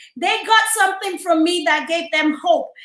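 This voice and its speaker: A woman with a Nigerian accent speaks in a raised, projected voice at an extremely high pitch, her tone bright, sharp and animated, at a moderate pace. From Nigeria, Lagos. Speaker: entrepreneur and public speaker. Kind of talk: interview. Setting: studio.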